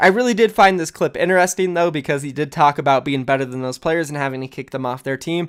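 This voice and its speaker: This man speaks at a very fast pace. His pitch is fairly high, with ordinary pitch variation. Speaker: esports news youtuber. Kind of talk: casual video commentary. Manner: animated.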